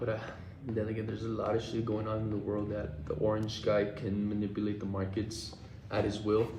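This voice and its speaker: A man with an American accent talks at a fairly quick pace in a fairly low pitch, his intonation monotone and flat. Noticeable background noise and audible room echo fill the recording. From Texas. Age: 20s. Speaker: livestreamer and day trader. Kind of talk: casual live stream chat. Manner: casual, slangy.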